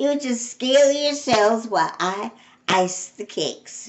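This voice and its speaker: A woman in a put-on character voice, fairly high pitched, with lively intonation at a fairly slow pace. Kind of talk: bedtime story. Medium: read story. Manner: earnest, cheerful.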